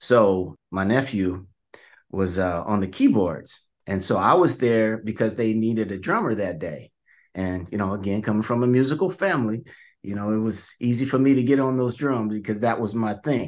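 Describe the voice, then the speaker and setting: An unremarkable speaking voice from a man with an American accent, fairly low in pitch, with ordinary pitch variation at a moderate pace against a quiet background. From Vallejo, California. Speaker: author. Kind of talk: interview.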